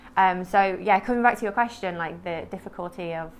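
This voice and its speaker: A woman talks at a fairly quick pace in a plain, everyday voice. Her pitch sits fairly low and varies an ordinary amount. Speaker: poet and MS advocate. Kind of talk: interview testimony. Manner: informal, many fillers (um, like).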